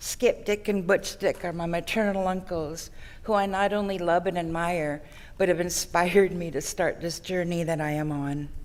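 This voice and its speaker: Audible room echo hangs around this woman's voice. She keeps a medium speed, and her pitch moves in a typical way. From Songhees Nation, Victoria, British Columbia. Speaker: First Nations community member. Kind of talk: ceremonial welcome speech. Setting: ceremony at a conference centre.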